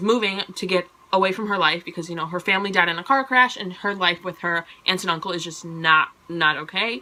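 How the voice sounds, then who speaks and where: A woman's animated tone against noticeable background noise. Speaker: book vlogger. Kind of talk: casual monthly book review vlog. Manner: fast; animated, chatty.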